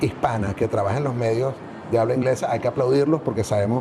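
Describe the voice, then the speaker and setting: There is noticeable background noise behind this voice. A man speaks with fairly even intonation. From Venezuela. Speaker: journalist and media business owner. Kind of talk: interview. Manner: hesitant, many fillers.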